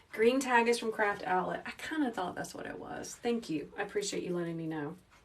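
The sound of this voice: With audible room echo around her, a woman speaks at a fairly quick pace in a calm, gentle tone at a medium pitch. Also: ordinary pitch variation.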